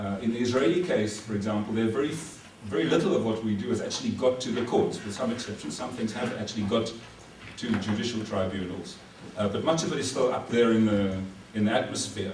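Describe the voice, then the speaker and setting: A man's medium-pitched voice in a South African accent at a very fast pace with ordinary pitch variation, against noticeable background noise and audible room echo. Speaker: military legal advisor, lecturer. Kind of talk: lecture. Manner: halting, many fillers.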